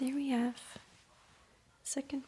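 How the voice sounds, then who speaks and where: The soft-spoken whispering comes through over noticeable background noise. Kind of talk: ASMR towel-folding demonstration, soft-spoken talk to camera.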